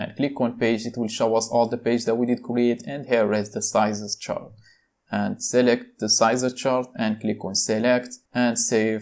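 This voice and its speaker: In a very clean recording with a silent background, a man with a non-native accent speaks at a medium pitch and a moderate pace. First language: not English. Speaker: tech tutorial youtuber. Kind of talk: screen-recorded tutorial. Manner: casual, with filler words.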